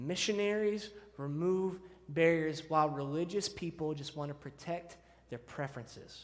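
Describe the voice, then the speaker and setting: An ordinary speaking voice from a fairly high-pitched man with an American accent and ordinary pitch variation. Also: moderate pace. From Texas (Deer Park, near Houston). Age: 30s. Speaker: student pastor. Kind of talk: sermon. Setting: church.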